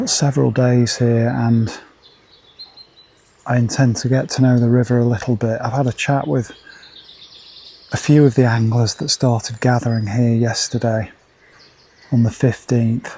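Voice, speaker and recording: Quiet and at a medium pitch, a man talks at a moderate pace with fairly even intonation and long, frequent pauses over noticeable background noise. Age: 50s. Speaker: angling video presenter. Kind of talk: outdoor vlog narration. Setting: outdoors on a riverbank. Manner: quiet, keeping voice down.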